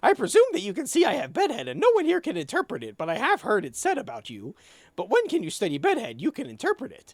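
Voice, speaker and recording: Someone speaks in a put-on character voice with a fairly high pitch. The pace is very fast. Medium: game stream. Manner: pompous.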